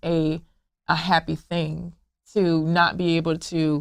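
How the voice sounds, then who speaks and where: The recording is very clean, with a silent background. A woman speaks at a fairly low pitch. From US South, Memphis Tennessee. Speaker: founder of a blended-family support group. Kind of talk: interview. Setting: podcast interview. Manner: halting, with repetitions.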